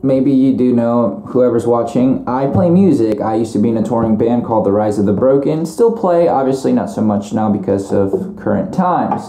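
A man's fairly quick speech with hardly any pauses and audible room echo. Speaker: vlogger testing microphones. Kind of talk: casual vlog chat. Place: home room. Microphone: camera far.

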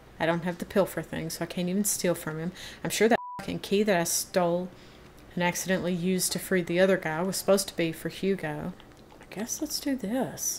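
A woman with a Southern US accent at a fairly quick pace, over noticeable background noise. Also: medium pitch for a woman, ordinary pitch variation. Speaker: gaming youtuber. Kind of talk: gameplay commentary. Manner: animated.

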